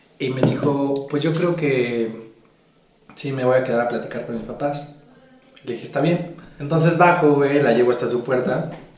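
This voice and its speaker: Speaking in a fairly high pitch with fairly even intonation, a man leaves long, frequent pauses, against audible room echo and noticeable background noise. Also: moderate pace. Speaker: podcast co-host. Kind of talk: casual chat.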